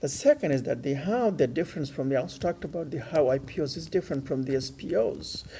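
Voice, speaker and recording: At a very fast pace with hardly any pauses, a man talks in a somewhat breathy, dark, mellow, fairly high-pitched voice with ordinary pitch variation. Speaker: financial educator. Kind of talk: unscripted educational lecture. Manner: hesitant, many fillers.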